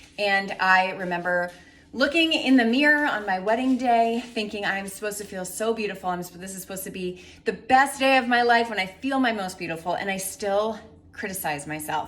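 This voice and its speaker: Medium-pitched female voice with lively intonation, big swings in loudness and a fairly quick pace, amid noticeable background noise and audible room echo. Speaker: fitness and nutrition coach. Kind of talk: promotional talk to camera.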